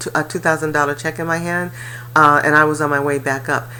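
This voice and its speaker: A woman's voice, very deep and low, stays fairly level in intonation while background noise is clearly audible. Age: 60s. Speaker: life coach and real estate investor. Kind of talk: personal testimony. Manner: casual, conversational with fillers.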